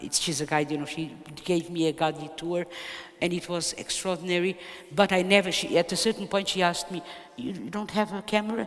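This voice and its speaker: Over noticeable background noise, a woman with a Portuguese accent and a fairly low pitch speaks at a fairly quick pace with ordinary pitch variation. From Portugal. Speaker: poet. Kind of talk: interview. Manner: halting.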